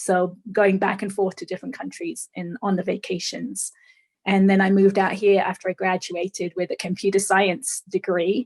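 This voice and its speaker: Somewhat breathy and at a moderate pace, a woman speaks at a medium pitch with fairly even intonation in a dry, close sound with no echo. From England. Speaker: author and speaker. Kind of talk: interview. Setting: podcast.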